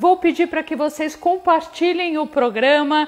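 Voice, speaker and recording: High-pitched woman's voice with ordinary pitch variation and faint music in the background. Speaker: host of a livestream talk show. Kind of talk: casual live-stream chat. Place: home room. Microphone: lapel.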